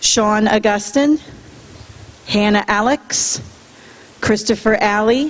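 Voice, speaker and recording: Against noticeable background noise, a woman speaks very slowly at a fairly high pitch. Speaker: school principal. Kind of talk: public address at school board meeting; reading list of names. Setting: school board meeting with audience.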